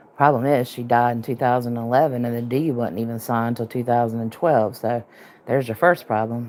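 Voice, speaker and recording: The voice is soft-spoken. It moves at a fairly quick pace. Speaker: online true-crime streamer. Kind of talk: casual livestream commentary.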